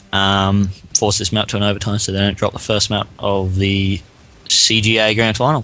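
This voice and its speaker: A man with an Australian accent speaks at a moderate pace in a monotone, flat intonation. His pitch is fairly low, and noticeable background noise is present. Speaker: esports shoutcaster. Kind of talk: live esports shoutcast commentary.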